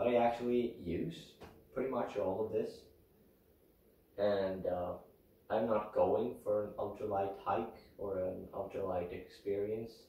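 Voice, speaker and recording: Long, frequent pauses mark a man's speech with a Swedish accent at a fairly slow pace. Noticeable background noise and audible room echo fill the recording. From Sweden. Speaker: outdoor vlogger. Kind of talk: gear tutorial. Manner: casual, hesitant with fillers.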